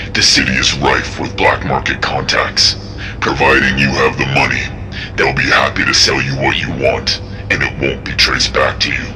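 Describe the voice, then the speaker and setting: A man puts on a cartoonish character voice at a moderate pace. Loud background noise runs underneath. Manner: calm, measured.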